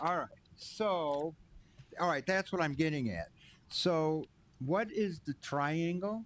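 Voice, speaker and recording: A mumbling man at a fairly high pitch and a fairly slow pace, with long, frequent pauses and ordinary pitch variation. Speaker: township board chair. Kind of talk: public meeting discussion.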